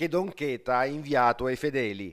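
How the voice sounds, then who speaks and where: Pitch varies in an ordinary way as a plain, everyday voice keeps to a moderate speed. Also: man. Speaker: local TV news reporter. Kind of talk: formal news reading, scripted report. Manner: formal, steady, measured newsreader delivery.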